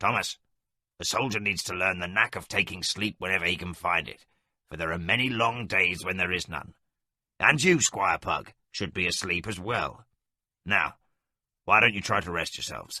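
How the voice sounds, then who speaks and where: Using a put-on character voice, a man speaks very deep and low in a raspy, stern tone at a moderate pace, with ordinary pitch variation and long, frequent pauses. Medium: audio drama. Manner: stern, fatherly.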